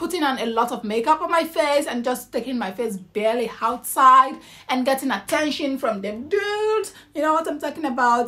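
Raising and projecting her voice, a woman speaks at a high pitch with lively intonation. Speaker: vlogger. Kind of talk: casual vlog talk. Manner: loud; animated. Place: home room. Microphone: phone near.

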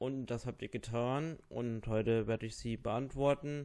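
A man speaks at a slow pace with a slightly mellow tone.

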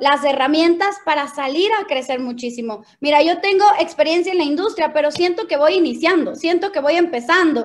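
The woman's pitch is high and her tone animated. She talks at a moderate pace. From Ecuador, Quito; Ecuador. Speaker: network marketing leader; presenter. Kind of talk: motivational training talk. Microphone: video call.

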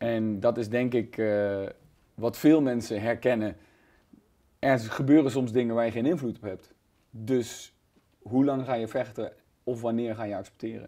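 Over a quiet background, a man speaks at a medium pitch and a fairly slow pace, his tone dark and mellow, his intonation fairly even, with long, frequent pauses. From Netherlands, near Nijmegen (Gelderland); Gelderland, Netherlands. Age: 30s. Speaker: comedian. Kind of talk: casual interview. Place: studio. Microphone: lapel.

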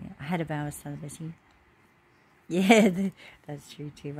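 Over light background noise, a woman talks at a moderate pace in a somewhat breathy voice. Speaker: vlogger. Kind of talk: casual vlog chat. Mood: personal, reflective. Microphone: phone near.

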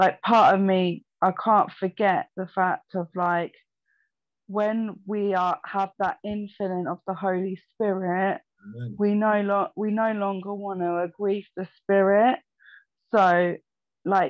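A woman speaks at a very slow pace with fairly even intonation. The sound is dry with no echo, and the background is quiet. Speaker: remote guest. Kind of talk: faith discussion, personal testimony. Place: home room. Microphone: video call.

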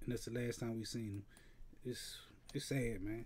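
A man at a moderate pace, his tone dark and mellow. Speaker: news commentary host. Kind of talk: casual commentary. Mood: somber, sad.

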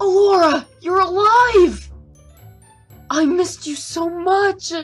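Faint music plays in the background as a put-on character voice speaks at a very slow pace. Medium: dub.

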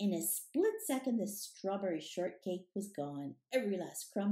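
Quiet background, natural reading voice

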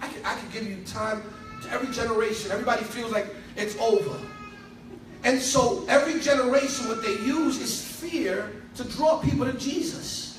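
Faint music plays behind a man talking at a fairly quick pace in an extremely high voice, with ordinary pitch variation and audible room echo. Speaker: preacher. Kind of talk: sermon. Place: church.

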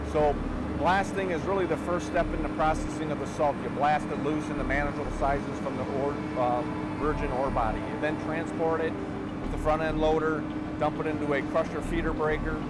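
Fairly quick speech, dry with no echo, over loud background noise. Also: man. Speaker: mine guide. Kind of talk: explanatory tour talk. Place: tunnel cave.

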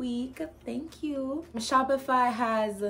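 Against light background noise, a woman speaks with ordinary pitch variation. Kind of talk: casual vlog tutorial. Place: home room.

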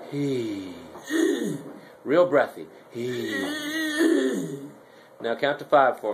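A man speaks at a very slow pace with lively intonation and long, frequent pauses. Noticeable background noise runs behind him. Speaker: laryngologist. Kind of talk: doctor instructing patient. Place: office.

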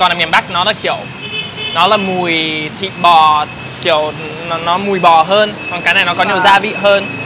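A man talks at a moderate pace with fairly even intonation. Noticeable background noise is present. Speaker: foreign Vietnamese speaker. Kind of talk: casual comedic conversation. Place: cafe.

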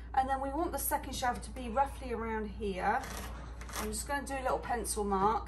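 A woman with a British accent speaks at a fairly quick pace. Noticeable background noise runs beneath her. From England. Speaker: DIY creator. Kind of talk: DIY tutorial talk to camera. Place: garage. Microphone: phone near.

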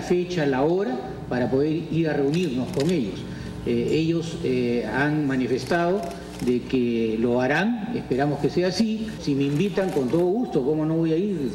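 A man speaks at a fairly slow pace over light background noise, with audible room echo. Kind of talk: press conference statement. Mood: calm, conciliatory. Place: meeting room. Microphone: podium.

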